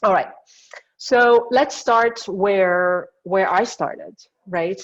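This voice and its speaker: A woman speaks in a French accent. Her intonation is lively. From France. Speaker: industrial designer. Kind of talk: lecture.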